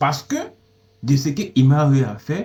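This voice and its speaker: A man speaks with a non-native accent and a dark, mellow tone. His voice is somewhat breathy. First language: not French (speaking French). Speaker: music commentator. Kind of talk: opinion commentary monologue. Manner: halting, with repetitions and self-corrections.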